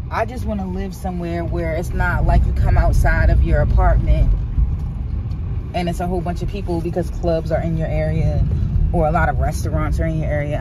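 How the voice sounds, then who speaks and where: The sound is dry, with no echo. Loud background noise runs throughout. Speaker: vlogger driving. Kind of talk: casual vlog chat. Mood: excited, admiring. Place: car. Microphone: phone near.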